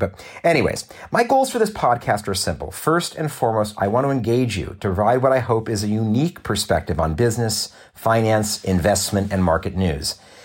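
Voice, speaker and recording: A man's fairly low voice at a moderate pace with an American accent, ordinary pitch variation, and a very clean recording with a silent background. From Southern California. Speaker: podcast host and business school lecturer. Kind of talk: solo podcast monologue.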